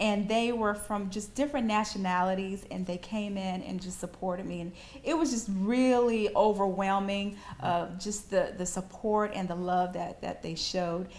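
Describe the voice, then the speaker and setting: Noticeable background noise sits behind a woman with a Southern US accent who talks at a moderate pace and medium pitch with ordinary pitch variation. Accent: Southern American. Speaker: author being interviewed. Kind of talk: interview answer.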